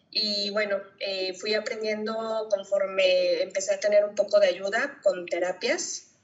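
A woman at a medium pitch talks at a fairly slow pace with hardly any pauses and ordinary pitch variation. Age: 30s. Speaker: dentist and single mother. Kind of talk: interview testimony. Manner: hesitant, many fillers.

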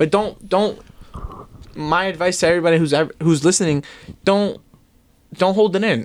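Using a high pitch, a man with a New York accent speaks at a moderate pace. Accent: New York metro American English. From US, New Jersey, Bergen County suburbs. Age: 20s. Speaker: fashion brand owner. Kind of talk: casual chat.

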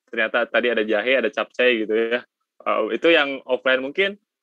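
Here a man talks fairly quickly with a West Javanese accent and ordinary pitch variation. His tone is bright and sharp, and the sound is dry and close with no echo. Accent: Sundanese. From West Java (Sundanese). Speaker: student podcast host. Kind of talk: casual chat. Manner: animated.

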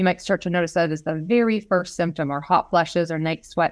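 This is a woman with an unremarkable speaking voice, fairly low in pitch, at a moderate pace. The recording is very clean, with a silent background. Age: 40s. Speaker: health practitioner. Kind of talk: casual chat.

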